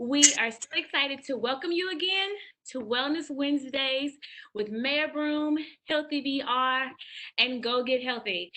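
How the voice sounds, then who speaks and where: This woman has a high-pitched voice. She talks at a fairly slow pace. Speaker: webinar moderator. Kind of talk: webinar hosting. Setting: video webinar.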